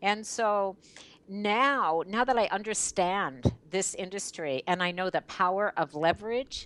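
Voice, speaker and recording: A woman with a normal speaking voice, fairly slow in pace, with ordinary pitch variation. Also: medium pitch for a woman, quiet background. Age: 60s. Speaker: network marketing leader. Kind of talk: interview.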